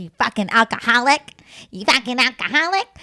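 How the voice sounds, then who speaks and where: Someone speaks in a put-on character voice at a fairly quick pace. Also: female-sounding voice, high pitch for a woman. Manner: accusing, nasty.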